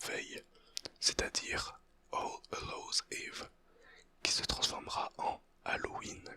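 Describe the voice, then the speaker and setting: Someone whispers at a very slow pace. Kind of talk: ASMR whispered educational talk. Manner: whispered, soft-spoken.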